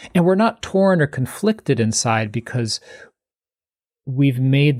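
On a very clean recording with a silent background, a man speaks at a moderate pace, somewhat breathy, with lively intonation. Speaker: meditation teacher and author. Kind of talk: interview, conversational.

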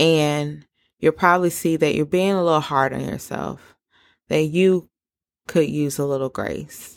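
With a Southern US accent, a woman speaks fairly slowly in a very deep, low pitch on a very clean recording with a silent background. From US South. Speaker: podcast host. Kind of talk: solo podcast monologue. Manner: animated.

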